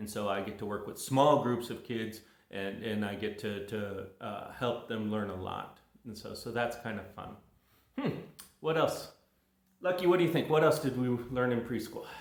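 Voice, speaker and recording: A man with an American accent speaks at a moderate pace with medium pitch and ordinary pitch variation. Audible room echo surrounds his voice. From California. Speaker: English teacher. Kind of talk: casual monologue to viewers. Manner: casual, halting with many fillers.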